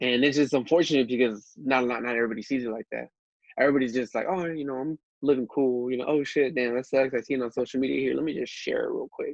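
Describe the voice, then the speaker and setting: A man talking at a very fast pace in dry, close sound with no echo. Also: medium pitch for a man. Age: 20s. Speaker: small business owner. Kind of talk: casual chat. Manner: animated.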